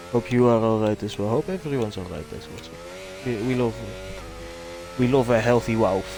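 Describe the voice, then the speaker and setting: Speaking with a Dutch accent at a fairly quick pace, the voice leaves long, frequent pauses over noticeable background noise. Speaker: streamer. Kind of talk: live-stream commentary, casual chat.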